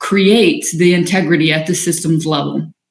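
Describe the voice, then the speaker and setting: Fairly even intonation with audible room echo. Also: woman. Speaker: leadership coach. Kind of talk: live-streamed workshop talk; guided breathing practice. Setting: livestream. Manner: fast.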